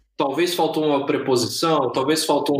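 A man's voice over noticeable background noise. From Brazil, interior of São Paulo state. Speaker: software engineer. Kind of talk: interview.

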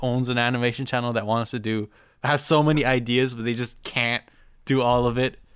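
In a very clean recording with a silent background, a man uses a normal speaking voice at a medium pitch and a moderate pace. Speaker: guest YouTuber. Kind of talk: casual chat.

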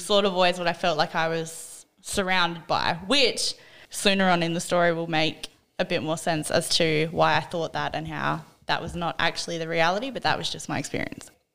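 Speaking in an Australian accent, a woman uses a fairly low pitch with vocal fry, a moderate pace and fairly even intonation, on a very clean recording with a silent background. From South Australia, small country town. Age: 20s. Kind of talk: personal testimony in casual interview.

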